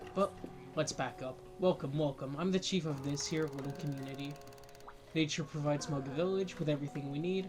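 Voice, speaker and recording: A man talks at a moderate pace with a fairly high pitch and fairly even intonation. Music plays in the background. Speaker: gaming let's play youtuber. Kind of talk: reading game dialogue aloud. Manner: halting, repeats words.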